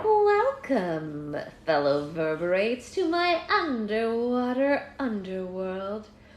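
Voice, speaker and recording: A female-sounding, put-on character voice speaks very slowly at a fairly high pitch, in a theatrical tone with hissing. Clear background noise sits behind it. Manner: theatrical, sly.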